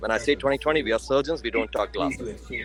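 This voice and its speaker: There is noticeable background noise behind this man. He talks at a very fast pace. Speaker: eye surgeon. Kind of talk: webinar talk. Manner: animated.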